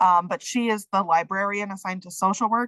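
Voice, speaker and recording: In a quiet background with a dry, close sound and no echo, a woman uses an ordinary speaking voice at a medium pitch and moderate pace. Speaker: social work program faculty. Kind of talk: online program orientation. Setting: video call.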